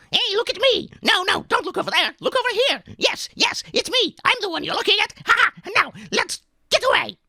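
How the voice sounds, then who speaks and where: An extremely high, nasal put-on character voice moves at a moderate pace. It leaves hardly any pauses. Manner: fast, cunning, scheming.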